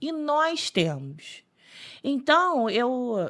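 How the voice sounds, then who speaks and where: An animated woman's voice at a high pitch. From Rio de Janeiro state, Brazil (São Gonçalo). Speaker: accountant. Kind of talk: podcast interview.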